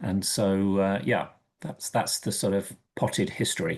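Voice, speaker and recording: In an English accent, a man with a fairly low pitch speaks at a moderate pace against a quiet background. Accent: English accent, noticeable. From England, Oxford. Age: 50s. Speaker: financial planner. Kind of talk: podcast interview.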